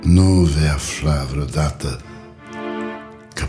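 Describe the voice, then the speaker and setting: A man is speaking. Music plays in the background. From Romania. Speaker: actor. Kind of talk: poetry reading. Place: studio.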